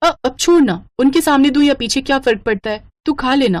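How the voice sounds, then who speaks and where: A woman puts on a cartoonish character voice, high in pitch, with lively intonation at a fairly quick pace. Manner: gentle, caring.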